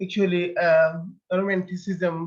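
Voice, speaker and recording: A man's high-pitched voice with a Bengali accent and ordinary pitch variation. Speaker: poet and author. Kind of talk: interview. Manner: halting, many fillers.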